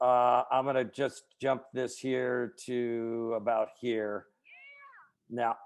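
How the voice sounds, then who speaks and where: A man's medium-pitched voice, monotone and flat, at a very slow pace. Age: 60s. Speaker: author and keynote speaker. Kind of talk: interview.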